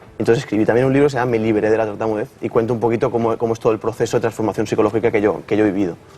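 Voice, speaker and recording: The man speaks in a medium pitch with monotone, flat intonation, at a very fast pace with hardly any pauses. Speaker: psychologist and speech therapist, guest. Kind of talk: TV interview. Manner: halting, repeats words.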